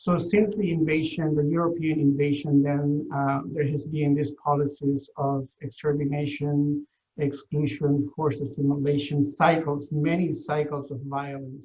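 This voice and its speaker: This man speaks with a Mesoamerican accent at a fairly high pitch. His voice is somewhat breathy and his intonation is monotone and flat. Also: moderate pace. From Guatemala, northern Maya territory. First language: Maya language. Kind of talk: interview. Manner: hesitant, many fillers.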